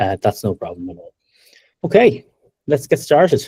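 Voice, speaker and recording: In an Irish accent, a man talks at a fairly quick pace with a dark, mellow tone, the sound dry and close with no echo. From Ireland. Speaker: tech company co-founder and presenter. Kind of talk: webinar presentation.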